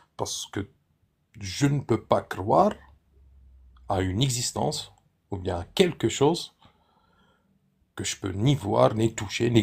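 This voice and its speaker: In a non-native accent, a somewhat breathy voice with a dark, mellow tone moves very slowly with lively intonation, recorded very cleanly against a silent background. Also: man. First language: not French (speaking French). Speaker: participant in live debate stream. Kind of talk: casual debate. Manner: halting.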